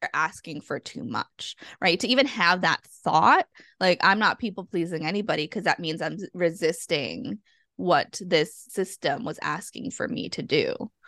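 A woman with an American accent speaks in a plain, everyday voice at medium pitch and a moderate pace, over a quiet background. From US Northeast (Massachusetts). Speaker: therapist and coach. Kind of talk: casual chat.

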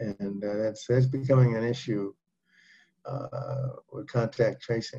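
With a dark, mellow tone, a man speaks in a somewhat breathy voice at medium pitch and with fairly even intonation. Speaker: physician leading group session. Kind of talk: group discussion on health. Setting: video call.

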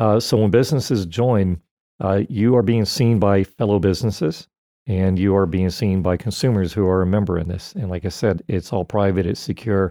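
Here is an unremarkable speaking voice from a man with an American accent and a fairly low pitch. He keeps a moderate pace with ordinary pitch variation. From Florida. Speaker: radio host. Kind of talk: casual chat. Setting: studio.

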